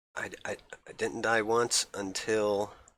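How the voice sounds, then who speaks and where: The man is soft-spoken. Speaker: gaming streamer. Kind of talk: casual live-stream talk. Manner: soft-spoken, talks low; halting, many fillers.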